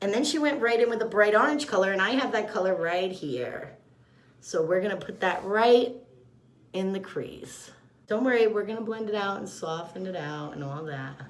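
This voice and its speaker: A woman speaks at a moderate pace with a medium pitch and lively intonation, and the room echo is audible. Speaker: makeup artist / beauty vlogger. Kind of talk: makeup tutorial. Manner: loud; casual, chatty.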